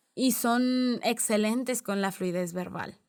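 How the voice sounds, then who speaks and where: Her intonation fairly even, a woman with a fairly high pitch speaks on a very clean recording with a silent background. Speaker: podcast host. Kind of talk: educational podcast monologue.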